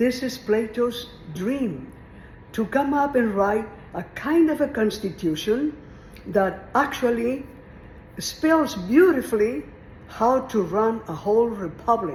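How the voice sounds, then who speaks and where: Audible room echo surrounds a woman speaking at a very slow pace with lively intonation and long, frequent pauses. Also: fairly high pitch for a woman. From Mexico. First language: Spanish. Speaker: retired teacher. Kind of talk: informal lecture on philosophy. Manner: conversational, meandering.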